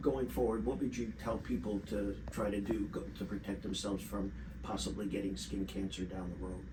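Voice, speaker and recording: There are very wide pitch swings as a man talks at a moderate pace over noticeable background noise. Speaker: dermatologist. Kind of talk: interview questions.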